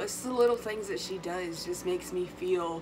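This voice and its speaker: Over noticeable background noise and audible room echo, a woman with a fairly low pitch talks at a moderate pace with fairly even intonation. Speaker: vlogger. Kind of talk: casual chat. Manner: halting.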